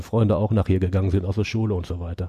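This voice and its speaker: The sound is dry and close, with no echo. A man talks in a dark, mellow tone. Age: 50s. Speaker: retired coal miner. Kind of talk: interview.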